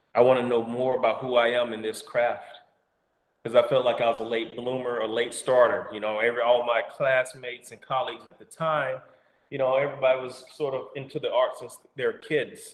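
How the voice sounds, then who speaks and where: In an Alabama accent, the speaker keeps a moderate pace and a monotone, flat intonation, while the loudness swings widely. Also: man. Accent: Southern US (Alabama). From US South, Alabama. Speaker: actor and storyteller. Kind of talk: casual interview. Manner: halting.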